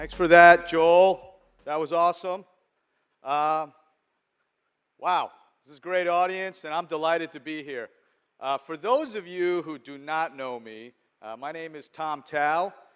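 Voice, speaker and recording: A man with an American accent and a high pitch speaks at a fairly slow pace, with long, frequent pauses and big swings in loudness. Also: ordinary pitch variation. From US, New York (Long Island). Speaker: venture capital investor. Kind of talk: conference speech. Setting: stage with audience.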